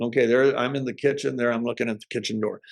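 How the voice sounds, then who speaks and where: A man's voice with vocal fry. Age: 70s. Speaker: health product entrepreneur. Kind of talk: presentation. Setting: at home in the kitchen.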